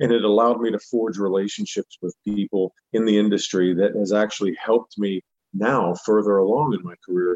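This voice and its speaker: A man with an American accent speaks at a fairly low pitch with fairly even intonation. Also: fairly quick pace. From Pittsburgh, Pennsylvania. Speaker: country singer. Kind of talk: interview. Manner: halting, many fillers.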